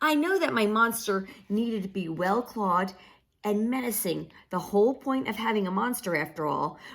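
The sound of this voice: Here we hear an unforced reading voice.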